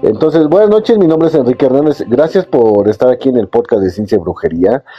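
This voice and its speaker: A man speaks with a Mexican accent. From Mexico. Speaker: podcast host. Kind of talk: live-streamed podcast monologue. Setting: live stream on a phone app. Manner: calm, sleep-inducing.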